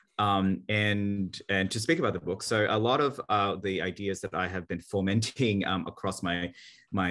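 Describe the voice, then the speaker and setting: A man speaks with an Australian accent in a fairly low pitch. The background is quiet. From Australia, Sydney (born in Manila, Philippines). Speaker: marketing executive and author. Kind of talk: interview.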